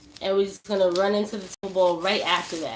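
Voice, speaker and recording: A woman speaks in a Brooklyn accent with an animated tone. Background noise is noticeable. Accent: New York (Brooklyn). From New York, Brooklyn. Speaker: cannabis hash maker and streamer. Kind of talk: live-stream tutorial.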